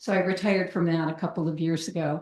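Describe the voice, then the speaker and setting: Against a quiet background, a woman speaks fairly quickly in a monotone, flat delivery. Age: 70s. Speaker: psychologist. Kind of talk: lecture. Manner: halting.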